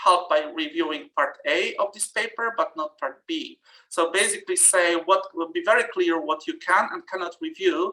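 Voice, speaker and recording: This speaker has a non-native accent. The pace is moderate. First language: not English. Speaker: journal editor and reviewer giving a workshop talk. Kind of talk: webinar presentation. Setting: online webinar. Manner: halting, many fillers.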